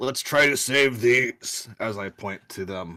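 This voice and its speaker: This is a man using a put-on character voice, growling and raspy at a medium pitch. He talks at a fairly slow pace. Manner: growly.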